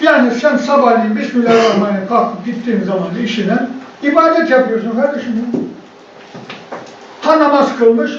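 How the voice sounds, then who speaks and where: An extremely high-pitched male voice with long, frequent pauses, audible room echo and noticeable background noise. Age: 70s. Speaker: professor of Islamic studies. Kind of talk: conference lecture. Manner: animated.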